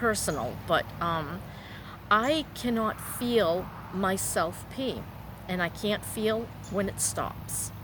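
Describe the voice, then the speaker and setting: At a very slow pace, a woman speaks with a fairly high pitch, ordinary pitch variation and vocal fry. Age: 60s. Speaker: vlogger. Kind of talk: personal vlog monologue. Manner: halting.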